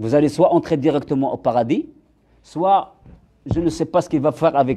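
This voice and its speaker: A dark, mellow tone at a moderate pace, with ordinary pitch variation. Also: man, fairly high pitch for a man. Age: 60s. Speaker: religious speaker. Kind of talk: religious lecture. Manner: halting.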